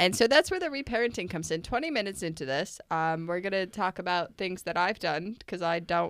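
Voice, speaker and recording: Talking at a fairly quick pace, a woman with medium pitch has a plain, everyday voice. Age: 20s. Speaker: podcast co-host and parent. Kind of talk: casual chat.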